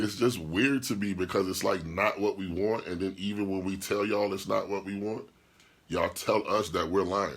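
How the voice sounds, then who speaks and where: A man's fairly low voice, animated in tone, at a moderate pace. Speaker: podcast host and DJ. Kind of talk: casual livestream chat reading comments.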